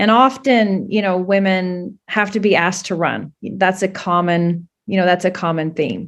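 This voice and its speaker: In a very clean recording with a silent background, a woman with a Canadian accent uses a plain, everyday voice at medium pitch, speaking at a fairly slow pace with fairly even intonation. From Canada. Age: 50s. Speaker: political candidate. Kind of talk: interview.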